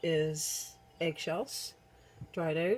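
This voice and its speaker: A quiet, mumbling woman at a fairly low pitch. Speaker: herbalist video creator. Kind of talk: tutorial. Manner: casual with many fillers.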